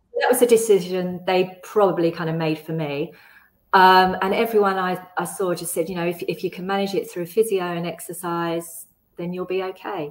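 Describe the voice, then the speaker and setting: Speaking at a moderate pace, a woman with a medium pitch and fairly even intonation has a plain, everyday voice. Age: 50s. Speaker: yoga student with scoliosis, mother. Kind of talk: casual interview. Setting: video call.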